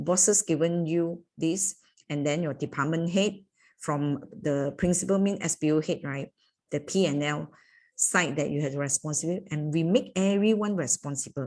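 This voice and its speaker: A woman speaks at a moderate pace in a fairly low pitch with ordinary pitch variation, an unremarkable speaking voice. The recording is very clean, with a silent background. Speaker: corporate trainer. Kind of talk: training workshop.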